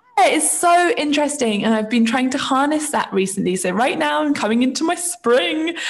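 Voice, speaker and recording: Over noticeable background noise, a woman with a southern English accent speaks at a fairly quick pace. Her high voice has very wide pitch swings but very even loudness. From England, Isle of Wight. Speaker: yoga teacher and baker. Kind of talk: casual chat.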